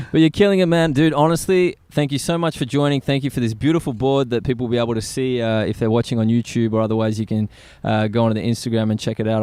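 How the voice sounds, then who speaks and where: A man with an Australian accent talks at a very fast pace with hardly any pauses. His medium pitch shows ordinary variation. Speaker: podcast host. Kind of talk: casual interview. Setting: outdoors at a skate spot. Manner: animated.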